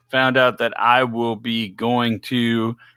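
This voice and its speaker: The tone of this man's voice is bright and sharp, with a Louisiana accent. It is a very clean recording with a silent background. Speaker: podcast host. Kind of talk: casual live chat. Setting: live stream.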